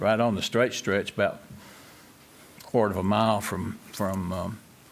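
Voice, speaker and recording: This man has a western North Carolina accent. He speaks at a moderate pace with a fairly low pitch. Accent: Southern US (western North Carolina). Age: 80s+. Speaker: local landowner speaking at public hearing. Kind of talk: public hearing testimony. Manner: halting, many fillers.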